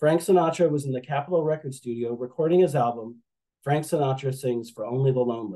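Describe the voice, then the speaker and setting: With a dark, mellow tone, a man speaks at a fairly quick pace in a fairly high pitch with ordinary pitch variation. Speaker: author and napkin collector. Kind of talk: interview answer; presentation talk. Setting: video call. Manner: fast.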